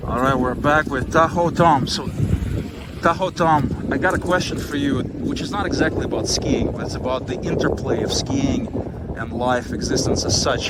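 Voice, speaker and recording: Amid noticeable background noise, a man talks in a fairly high voice with ordinary pitch variation. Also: moderate pace. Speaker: psychologist. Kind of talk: interview questions. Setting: outdoors.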